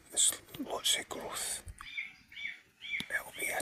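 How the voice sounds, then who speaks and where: A man whispers. Noticeable background noise runs behind him. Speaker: bushcraft vlogger. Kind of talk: outdoor vlog narration. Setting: outdoors in woods. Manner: whispering.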